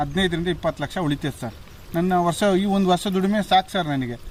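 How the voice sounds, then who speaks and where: There is noticeable background noise behind this voice. A man speaks at a high pitch. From Shivamogga district, Karnataka. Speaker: fish farmer. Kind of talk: interview.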